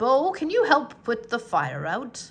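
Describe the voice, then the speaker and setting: A woman puts on a character voice, pitched high and paced fairly slowly. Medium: read story. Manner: calm, encouraging.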